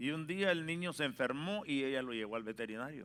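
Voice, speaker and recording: This man's voice sits fairly high and moves with lively intonation. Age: 60s. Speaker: pastor. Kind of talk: sermon.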